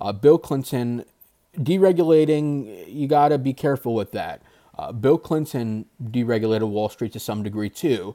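A man talks at a moderate pace with a medium pitch and ordinary pitch variation. The sound is dry and close with no echo, and the recording is very clean over a silent background. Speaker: political podcast host. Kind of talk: solo podcast commentary. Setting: video recording. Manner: halting, many fillers.

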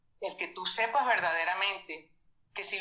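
A woman's voice with lively intonation and audible room echo. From Venezuela. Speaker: numerology coach. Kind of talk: interview.

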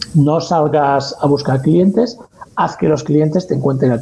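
Here a man speaks in a normal speaking voice with a fairly high pitch. His pace is moderate. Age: 40s. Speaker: freelance copywriter and blogger. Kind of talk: interview.

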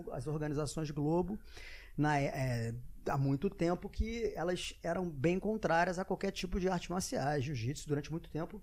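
At a moderate pace and fairly high pitch, a man speaks with ordinary pitch variation against a quiet background. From Brazil, Rio de Janeiro (Arpoador). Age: 40s. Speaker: former TV sports presenter. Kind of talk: casual interview chat.

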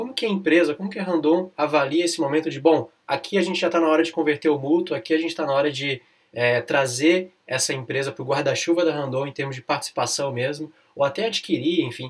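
A man's fairly high voice races along at a very fast pace. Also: ordinary pitch variation. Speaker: lawyer and podcast host. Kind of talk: interview. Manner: relaxed, casual.

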